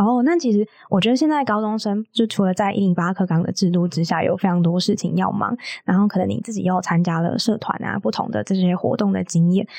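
Here a woman speaks at a very fast pace. Her pitch sits in the medium range. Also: ordinary pitch variation. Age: 20s. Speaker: podcast host. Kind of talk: casual chat.

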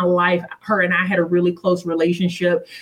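A woman's medium-pitched voice at a fairly quick pace, over noticeable background noise. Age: 40s. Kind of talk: interview.

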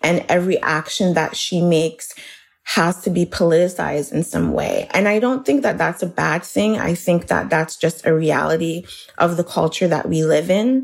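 Fairly low female voice with vocal fry, moderate pace, ordinary pitch variation, and very even loudness. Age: 30s. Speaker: writer. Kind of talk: interview.

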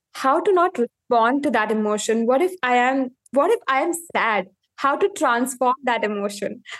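A woman with an Indian accent at a high pitch, lively intonation, very even loudness and moderate pace, in a dry, close sound with no echo. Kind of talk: coaching conversation.

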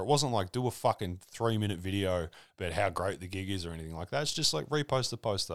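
Very fast speech from a man in an Australian accent, fairly low in pitch with lively intonation, on a very clean recording with a silent background. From rural Victoria, Australia (South Gippsland). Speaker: comedian and hip hop artist. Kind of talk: casual chat.

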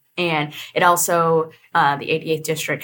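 A woman with an American accent speaks in a very deep, low voice. Her pace is fairly slow and her intonation fairly even. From Oklahoma, US. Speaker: state legislator.

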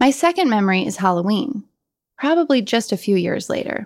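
A woman with an American accent and a plain, everyday voice speaks at a fairly quick pace and medium pitch with lively intonation, in a very clean recording with a silent background. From Colorado. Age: 40s. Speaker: writer. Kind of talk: scripted narration.

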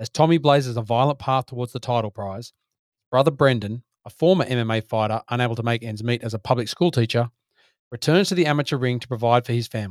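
Recorded very cleanly against a silent background, dry and close with no echo, a man talks at a very fast pace and a medium pitch, with ordinary pitch variation and big swings in loudness. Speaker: podcast co-host. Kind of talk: casual chat.

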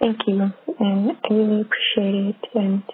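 A woman's fairly high voice in a monotone, flat intonation, with noticeable background noise behind it. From Netherlands. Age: 20s. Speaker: caller. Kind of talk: voicemail question. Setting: phone call. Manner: halting.

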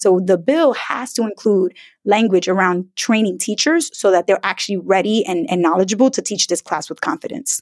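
With an American accent, a woman speaks in an unremarkable speaking voice at medium pitch and a moderate pace, her intonation lively, on a very clean recording with a silent background and a dry, close sound with no echo. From US Northeast, Brooklyn New York. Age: 30s. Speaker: personal finance educator. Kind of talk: interview.

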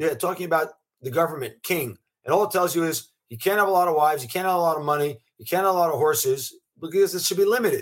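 A man talks at a very fast pace in a high pitch. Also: ordinary pitch variation. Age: 50s. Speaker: venture capitalist. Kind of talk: interview.

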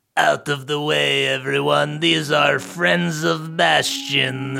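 In a put-on character voice, a raspy man talks at a fairly slow pace. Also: medium pitch for a man. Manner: commanding, protective.

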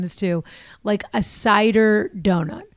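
Against a silent background in a very clean recording, a woman with an American accent speaks at a medium pitch with ordinary pitch variation. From Massachusetts, North Shore of Boston. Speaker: actor and comedian. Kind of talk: casual chat. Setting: studio.

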